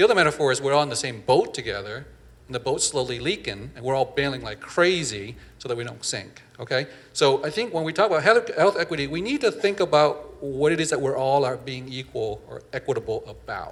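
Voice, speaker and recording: The somewhat breathy voice moves at a fairly quick pace with lively intonation and big swings in loudness. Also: man, fairly high pitch for a man. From Vietnam, raised in Northern California. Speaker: physician and professor. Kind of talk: panel discussion. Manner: hesitant, many fillers.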